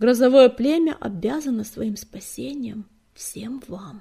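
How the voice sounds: A woman's put-on character voice, fairly slow and fairly high in pitch, with ordinary pitch variation, a dark, mellow tone, a husky, rough edge and vocal fry.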